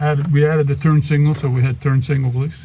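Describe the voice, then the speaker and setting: Over noticeable background noise, a man with a Louisiana accent talks at a very fast pace with fairly high pitch and fairly even intonation. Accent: Louisiana Southern. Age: 70s. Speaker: classic car owner and Vietnam veteran. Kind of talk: casual chat.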